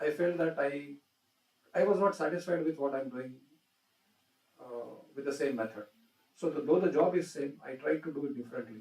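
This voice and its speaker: At a fairly quick pace, a man speaks with a fairly high pitch and ordinary pitch variation. He leaves long, frequent pauses. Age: 60s. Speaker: industry executive. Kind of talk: inaugural address to students.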